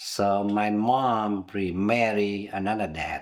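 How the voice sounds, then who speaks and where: A man's fairly low voice at a very slow pace, in a very clean recording with a silent background. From southern Vietnam, Binh Duong province near Saigon. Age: 70s. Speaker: interviewee, immigrant. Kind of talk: oral history interview.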